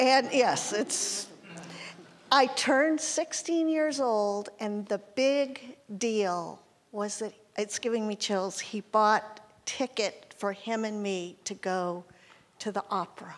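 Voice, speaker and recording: At a very slow pace, a woman speaks with lively intonation in a fairly high voice. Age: 60s. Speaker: audience member. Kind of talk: audience question.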